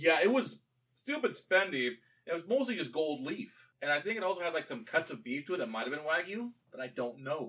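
A man talks loudly at a fairly quick pace, his high-pitched voice bright and sharp in tone with very wide pitch swings. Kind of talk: casual chat.

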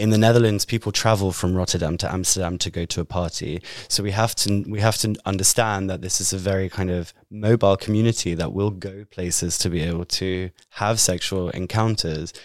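A man with a British accent and a very deep, low pitch, fairly quick and fairly even in intonation, hardly any pauses, on a very clean recording with a silent background. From Britain. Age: 30s. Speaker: podcast host, survivor advocate. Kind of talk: interview.

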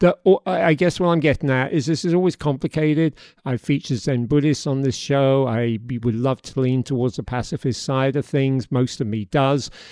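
Barely pausing, a man speaks at a moderate pace in a fairly high pitch with a dark, mellow tone and ordinary pitch variation. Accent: British. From Britain. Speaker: podcast host. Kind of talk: interview; scripted narration.

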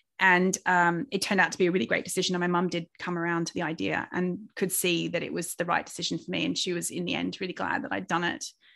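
A woman with a fairly low pitch and vocal fry talks at a very fast pace with hardly any pauses and ordinary pitch variation over a quiet background. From Australia. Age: 40s. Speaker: author and carer. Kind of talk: interview conversation.

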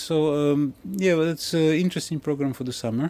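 A man with a Russian accent speaks at a fairly quick pace in a dark, mellow tone. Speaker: ship captain. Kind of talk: interview. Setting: on board a ship.

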